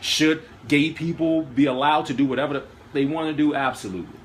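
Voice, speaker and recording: A man speaks in an animated tone. Noticeable background noise runs behind him. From Washington, D.C. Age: 30s. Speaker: vlogger and poet. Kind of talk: casual interview discussion.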